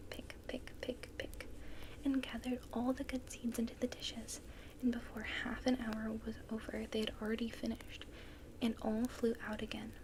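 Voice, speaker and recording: A soft-spoken woman speaks at a moderate pace in a fairly high pitch with a calm tone. Her intonation is monotone and flat, with noticeable background noise behind her. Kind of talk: soft-spoken ASMR story reading. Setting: fire crackling sounds in the background. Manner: soft-spoken, calm.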